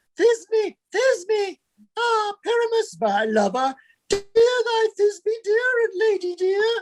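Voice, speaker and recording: A put-on character voice with an extremely high pitch at a very slow pace. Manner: melodramatic, pleading.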